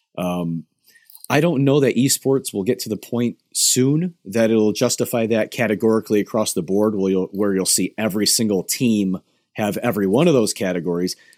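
A man speaks in an ordinary speaking voice at a moderate pace. His pitch is fairly low, and the sound is dry and close with no echo. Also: ordinary pitch variation. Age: 30s. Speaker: nutritionist and esports performance coach. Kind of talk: interview.

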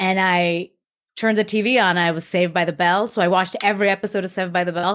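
A woman with an American accent speaks at a very fast pace in a monotone, flat intonation. The recording is very clean, with a silent background. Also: medium pitch for a woman. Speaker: actress. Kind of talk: casual interview chat.

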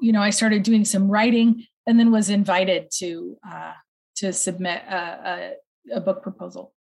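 A woman with an American accent speaks at a moderate pace in a somewhat breathy, medium-pitched voice with ordinary pitch variation. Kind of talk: interview.

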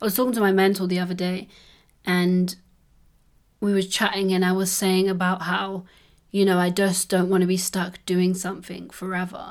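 At a moderate pace and in a London accent, the speaker uses a monotone, flat intonation with long, frequent pauses on a very clean recording with a silent background. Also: woman, medium pitch for a woman. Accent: British English (London-style, says innit). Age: 20s. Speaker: podcast host. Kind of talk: casual solo chat.

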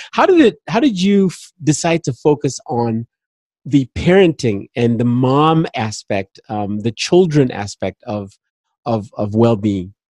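A man with an African accent speaks at a fairly slow pace and medium pitch, his voice making very wide pitch swings. The sound is dry and close with no echo. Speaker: podcast host. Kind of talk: interview conversation.

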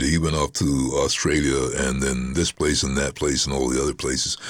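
A man's very deep, low voice at a moderate pace with hardly any pauses, over noticeable background noise. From Barbados. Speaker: voice-over artist. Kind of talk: casual interview. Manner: animated, chatty.

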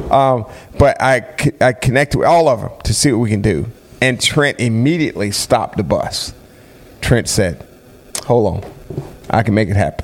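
A man speaks at medium pitch and a moderate pace, with ordinary pitch variation. He leaves long, frequent pauses, and noticeable background noise can be heard. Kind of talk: casual podcast chat.

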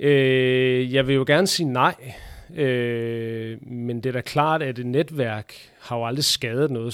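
The recording is very clean, with a silent background. A man talks at a very slow pace and a medium pitch. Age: 30s. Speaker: handball referee. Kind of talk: interview. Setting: basement under sports hall.

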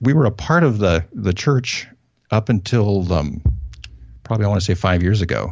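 Long, frequent pauses break up a man's speech, delivered at a moderate pace in a General American accent with a fairly low pitch. His voice is somewhat breathy, his intonation lively and his loudness very even. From US Northwest, northern Idaho. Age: 50s. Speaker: pastor. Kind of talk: interview. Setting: phone call.

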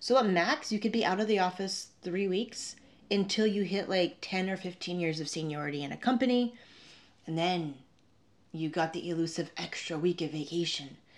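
Speaking at a moderate pace with a North American accent, a woman has an ordinary speaking voice at a medium pitch with ordinary pitch variation, on a very clean recording with a silent background. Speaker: travel vlogger and podcaster. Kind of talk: solo storytelling podcast. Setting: Airbnb room, video podcast.

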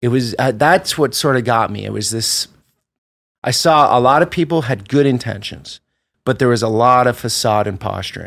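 At a moderate pace, a man with a normal speaking voice and a medium pitch talks in an American accent with ordinary pitch variation. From US Northeast, Vermont. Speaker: travel vlogger. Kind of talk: interview.

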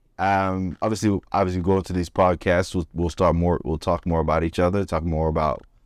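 A man with an American accent speaks at a moderate pace in a very deep, low pitch and a monotone, flat intonation, on a very clean recording with a silent background and a dry, close sound with no echo. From Florida, US. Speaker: filmmaker and podcast co-host. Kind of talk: casual chat. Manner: halting, many fillers.

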